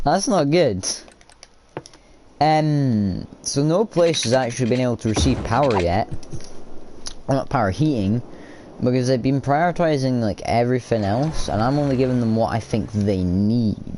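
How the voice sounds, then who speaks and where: A man with a Scottish accent at a medium pitch and a moderate pace, with long, frequent pauses. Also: lively intonation, very even loudness. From Scotland. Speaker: gamer streamer. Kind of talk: gameplay commentary. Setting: live stream. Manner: casual, animated.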